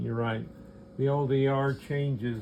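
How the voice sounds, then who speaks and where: Speaking in a monotone, flat way at a fairly slow pace, a man with a dark, mellow tone is heard with audible room echo. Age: 70s. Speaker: clock maker. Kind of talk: product demonstration. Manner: halting.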